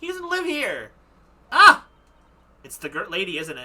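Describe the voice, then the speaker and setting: The pitch is extremely high in this put-on character voice. Its pace is moderate. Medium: game stream. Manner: excitable.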